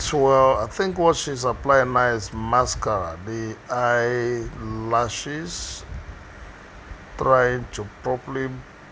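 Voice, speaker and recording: A man with a Nigerian accent at a very slow pace, medium pitch and ordinary pitch variation, over noticeable background noise. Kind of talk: unscripted commentary on a makeup tutorial. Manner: hesitant, unhurried.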